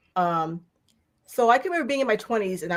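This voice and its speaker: In a very clean recording with a silent background, a woman with a plain, everyday voice speaks at a fairly quick pace with lively intonation. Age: 60s. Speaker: channel host and co-author. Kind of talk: live interview.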